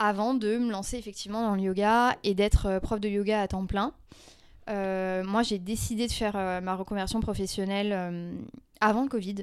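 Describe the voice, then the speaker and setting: A woman speaks fairly slowly at a medium pitch in a monotone, flat way, on a very clean recording with a silent background. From rural France. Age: 30s. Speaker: former yoga teacher. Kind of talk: casual chat.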